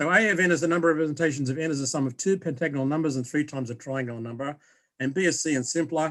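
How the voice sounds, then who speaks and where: A man speaks very fast in an Australian accent. His pitch is fairly high, with ordinary variation. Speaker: mathematics professor. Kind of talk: academic lecture.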